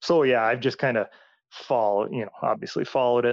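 Medium pitch and ordinary pitch variation mark this voice. A man speaks in an American accent. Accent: strong upper Midwest, Minnesota-like. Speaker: former college football player, podcast host. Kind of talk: casual chat.

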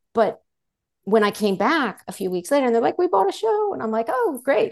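A woman's fairly high-pitched, fairly quick delivery in a normal speaking voice. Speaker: life coach, former TV network executive. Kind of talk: casual interview chat.

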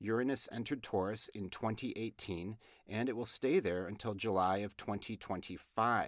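A man's fairly low-pitched voice with an American accent, a plain, everyday voice at a fairly slow pace with ordinary pitch variation. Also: very clean recording, silent background. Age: middle-aged. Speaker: astrology podcast host. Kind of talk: casual chat.

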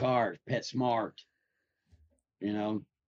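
A man speaks at a medium pitch with a strong Southern US accent. His intonation stays fairly even, and the sound is dry and close with no echo. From Nashville, Tennessee. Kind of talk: casual chat.

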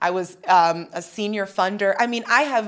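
It's an unremarkable speaking voice from a woman. Her pitch is medium, with ordinary variation. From US, military family (Hawaii, Arizona, Chicago). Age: 30s. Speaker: TV host. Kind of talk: interview conversation.

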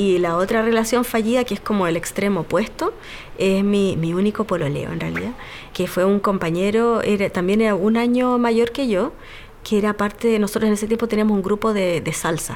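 Noticeable background noise runs behind this recording. A woman talks at a fairly quick pace with ordinary pitch variation. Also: medium pitch for a woman. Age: 30s. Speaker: physiatrist and single mother. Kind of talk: personal testimony.

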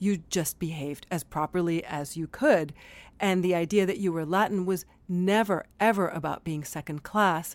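On a very clean recording with a silent background, a woman speaks with an American accent and a normal speaking voice. Her pitch is fairly low, with ordinary variation, at a moderate pace. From Miami, Cuban American. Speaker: storyteller and performer. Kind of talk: casual interview. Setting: studio.

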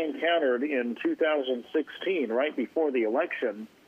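A fairly high-pitched man with an American accent amid noticeable background noise. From Oregon, US. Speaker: caller. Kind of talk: radio call-in.

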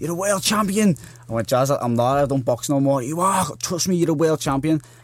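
Speaking at a very fast pace, a man with a Liverpool accent uses lively intonation. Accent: Scouse. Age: 20s. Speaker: boxer. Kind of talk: interview.

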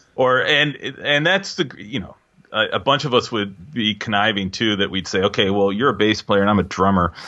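A man's fairly low voice at a moderate pace, with a Pacific Northwest accent. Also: ordinary pitch variation. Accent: US Pacific Northwest (General American). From Seattle, US Pacific Northwest. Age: 40s. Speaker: jazz drummer and composer. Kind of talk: casual interview chat.

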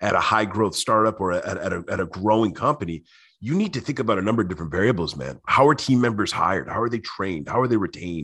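The intonation is lively against a quiet background. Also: man. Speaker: author and customer experience professional. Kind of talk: casual interview chat. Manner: fast talker.

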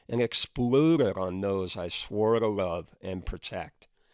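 A man with an ordinary speaking voice and a medium pitch talks at a fairly slow pace with ordinary pitch variation, in a dry, close sound with no echo on a very clean recording with a silent background. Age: 60s. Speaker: podcast host. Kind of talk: personal storytelling monologue.

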